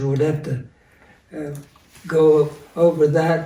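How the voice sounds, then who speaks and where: A man speaks with a western Pennsylvania accent. His pitch is fairly high for a man, and his tone is dark and mellow. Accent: western Pennsylvania American English. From western Pennsylvania, USA. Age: 90s. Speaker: World War II veteran. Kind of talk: interview answer.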